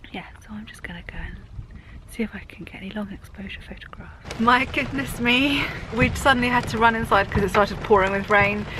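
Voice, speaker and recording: Noticeable noise is present in the background. Over it, a woman speaks fairly fast. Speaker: vlogger. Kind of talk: casual vlog. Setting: inside a campervan on a moor. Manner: raised, shouting over rain.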